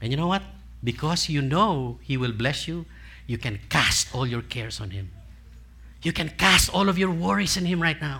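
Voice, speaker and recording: With a Filipino accent, a man talks at a moderate pace in a bright, sharp tone, his pitch swinging very widely. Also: fairly high pitch for a man. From Philippines. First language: Tagalog. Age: 60s. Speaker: preacher. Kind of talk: sermon. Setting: church with congregation. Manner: interactive call-and-response.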